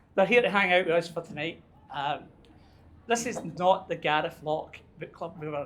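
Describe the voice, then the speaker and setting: A man speaks with a Scottish accent. His pitch varies in an ordinary way over noticeable background noise. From Scotland. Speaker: book club organizer. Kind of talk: casual chat. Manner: animated.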